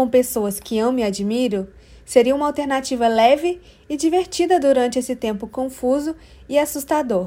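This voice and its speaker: A woman's high-pitched voice, dark and mellow in tone, with lively intonation. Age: 20s. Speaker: podcast host. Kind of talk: scripted monologue. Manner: animated.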